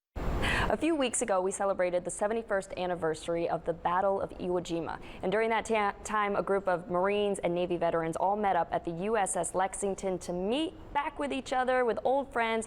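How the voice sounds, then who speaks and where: In an ordinary speaking voice with a medium pitch, a woman speaks at a fairly quick pace with hardly any pauses, ordinary pitch variation and very even loudness. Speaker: TV news reporter. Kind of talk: TV news report.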